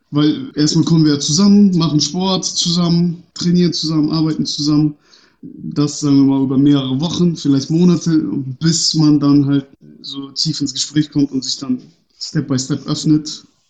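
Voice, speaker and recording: A man's fairly high voice with a dark, mellow tone, fairly even intonation and a moderate pace. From northern Germany, Bremen. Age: 30s. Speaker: youth sports organization director. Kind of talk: interview. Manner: hesitant, many fillers.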